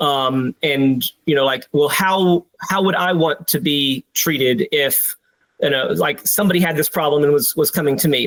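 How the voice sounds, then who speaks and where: A man with a fairly high voice and ordinary pitch variation comes through in a dry, close sound with no echo. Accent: American. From US South, South Carolina. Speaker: military pilot, reservist. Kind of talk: interview testimony. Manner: halting, many fillers and repeats.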